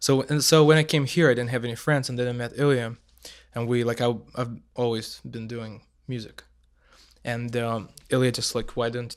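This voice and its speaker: In a Russian accent, a man talks at a moderate pace with medium pitch and fairly even intonation. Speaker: musician. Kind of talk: casual chat. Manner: halting.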